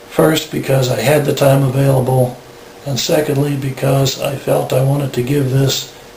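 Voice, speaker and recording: A man with a fairly high pitch talks at a fairly slow pace in a monotone, flat intonation, with audible room echo and noticeable background noise. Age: 60s. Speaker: patient sharing experience. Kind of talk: testimony. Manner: formal.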